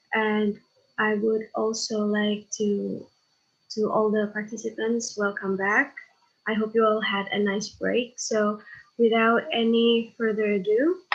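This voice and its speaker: Here a woman talks at a very slow pace. Her pitch is fairly high, and her intonation fairly even. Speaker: event moderator. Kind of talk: formal introduction.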